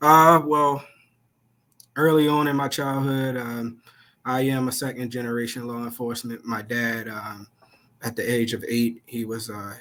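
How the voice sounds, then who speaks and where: At a moderate pace, a man of medium pitch speaks with a Baltimore accent and fairly even intonation. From Baltimore, Maryland. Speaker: police officer and nonprofit founder. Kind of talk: interview.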